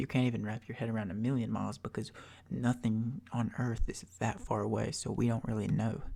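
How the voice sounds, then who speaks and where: A soft-spoken man with a relaxed, dark, mellow tone. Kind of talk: ASMR soft-spoken educational ramble. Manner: soft-spoken, relaxed, rambling.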